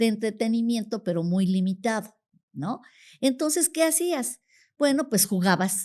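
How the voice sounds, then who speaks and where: The voice has a dark, mellow tone and very wide pitch swings. It moves at a fairly slow pace. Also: woman, fairly high pitch for a woman, very clean recording, silent background. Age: 60s. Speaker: retired teacher. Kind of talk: interview conversation. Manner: hesitant, with fillers.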